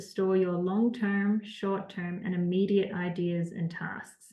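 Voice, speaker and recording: A woman with an American accent, medium pitch, a somewhat breathy voice and a fairly slow pace. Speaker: time management trainer. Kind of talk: webinar presentation. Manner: hesitant fillers.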